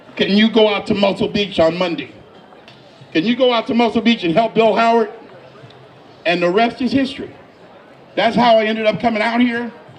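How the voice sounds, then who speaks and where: A man's high voice at a fairly quick pace, fairly even in intonation, broken by long, frequent pauses amid noticeable background noise. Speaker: event host presenting an award. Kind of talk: induction speech. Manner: voice cracks with emotion.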